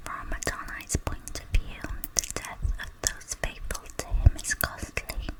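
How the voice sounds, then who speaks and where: Whispering in a calm tone at a very slow pace, the speaker is heard over noticeable background noise. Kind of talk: Bible reading. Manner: whispered; slow, calm.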